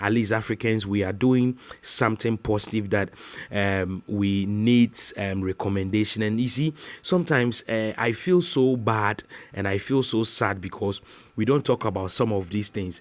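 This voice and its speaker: A man with a Ghanaian accent, in a dry, close sound with no echo. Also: fairly low pitch for a man, ordinary pitch variation, moderate pace. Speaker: YouTuber. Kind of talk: casual vlog talk to camera. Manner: halting, many fillers.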